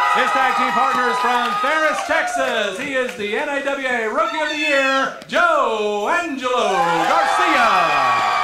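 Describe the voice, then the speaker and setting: Over crowd noise in the background, a man speaks in a raised, projected voice at an extremely high pitch, with very wide pitch swings, a very slow pace and hardly any pauses. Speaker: wrestling commentator. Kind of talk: live wrestling commentary.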